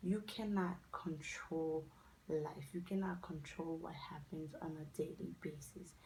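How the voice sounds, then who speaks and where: A woman speaks with a Haitian accent in a dark, mellow, somewhat breathy tone, her intonation fairly even, with audible room echo around her. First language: not English; English her fourth language. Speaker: lifestyle vlogger. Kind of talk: casual advice vlog.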